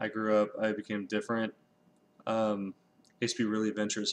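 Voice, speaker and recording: Against a quiet background, a man with an American accent speaks at a medium pitch. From US West Coast, Los Angeles. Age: 20s. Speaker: YouTuber. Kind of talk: casual monologue vlog. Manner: rambling, hesitant with many ums.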